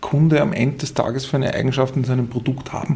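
Fairly high in pitch, a man with a Tyrolean accent speaks in a monotone, flat way. Noticeable background noise and audible room echo fill the recording. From Austria, Tyrol. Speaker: management consultant. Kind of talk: interview. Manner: halting, many fillers and repetitions.

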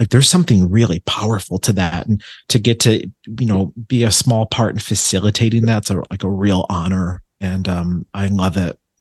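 A man's fairly low, somewhat breathy voice with an American accent, moderate pace and fairly even intonation, dry and close with no echo over a quiet background. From Buffalo, New York. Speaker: psychic medium. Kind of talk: casual chat.

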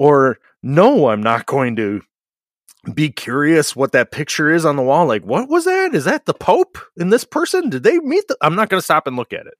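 Recorded very cleanly against a silent background, a man speaks at a moderate pace with a dry, close sound and no echo. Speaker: trades podcast host, plumber. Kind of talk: casual chat. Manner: loud.

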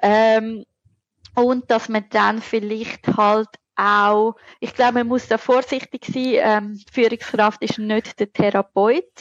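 With a Zurich accent, a woman speaks at a very slow pace in a fairly high pitch, her intonation fairly even, in a dry, close sound with no echo. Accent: Zurich Swiss German dialect. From Switzerland, Zurich. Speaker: burnout researcher and lecturer. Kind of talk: interview.

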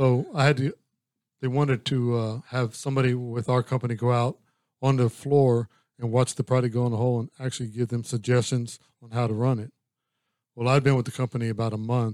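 A man's monotone, flat delivery at medium pitch, fairly quick pace, very clean recording with a silent background. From Louisiana. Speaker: business coach. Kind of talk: casual interview chat. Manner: quiet, calm.

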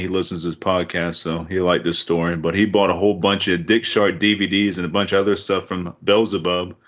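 This man has an unremarkable speaking voice. He talks at a fairly quick pace with fairly even intonation. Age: 30s. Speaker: podcast host. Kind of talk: casual chat. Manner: laughs often.

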